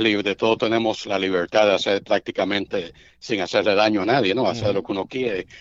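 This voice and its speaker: A man speaks at a fairly quick pace with a fairly low pitch. He has an ordinary speaking voice. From Cuba. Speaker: baseball radio play-by-play announcer. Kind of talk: casual interview chat.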